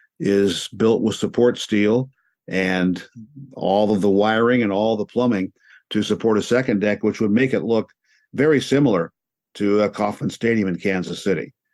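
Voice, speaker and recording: A man's fairly low voice, a normal speaking voice, at a moderate pace with ordinary pitch variation against a quiet background. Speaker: radio sports play-by-play announcer. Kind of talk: interview answer, conversational storytelling.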